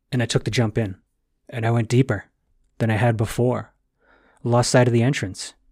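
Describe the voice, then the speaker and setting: On a very clean recording with a silent background, a somewhat breathy man at medium pitch moves at a fairly quick pace yet leaves long, frequent pauses. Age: 30s. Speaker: transformational coach and podcaster. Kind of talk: solo podcast monologue. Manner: animated.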